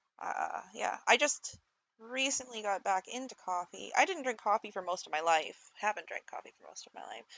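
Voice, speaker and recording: Mumbling, a woman speaks at a moderate pace. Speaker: streamer. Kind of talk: casual chat. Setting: live stream. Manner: halting.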